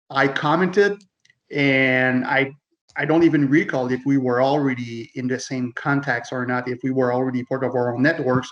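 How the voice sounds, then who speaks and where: A man talks with fairly even intonation in a French Canadian accent. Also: medium pitch for a man, moderate pace. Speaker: loss prevention manager and author. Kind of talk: casual chat.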